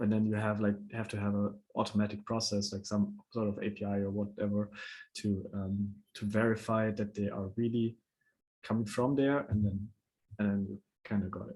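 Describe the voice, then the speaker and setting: Monotone, flat intonation and a dark, mellow tone come with a non-native accent. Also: man, fairly low pitch for a man, moderate pace. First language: not English. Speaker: NFT platform founder presenting a proposal. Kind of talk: online panel discussion. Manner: halting, with many fillers.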